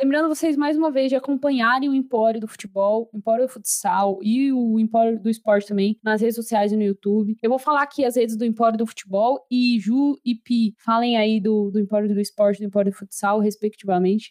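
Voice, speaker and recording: A woman talks at a fairly quick pace in a fairly high voice, with hardly any pauses and ordinary pitch variation. Her loudness stays very even, and the sound is dry and close, with no echo. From Brazil. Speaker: podcast host. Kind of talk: casual chat. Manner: animated.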